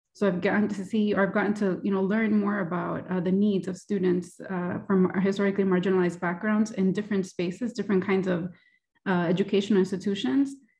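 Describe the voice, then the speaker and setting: This woman talks at a very fast pace in a flat, monotone intonation. Her tone is dark and mellow, somewhat breathy, over a quiet background. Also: medium pitch for a woman. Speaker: university diversity center director. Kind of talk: panel discussion. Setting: video call. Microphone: video call.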